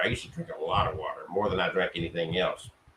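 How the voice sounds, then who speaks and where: A man speaks at a fairly quick pace. Background noise is noticeable. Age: 60s. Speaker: spiritualist church leader. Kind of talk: talk to an online audience.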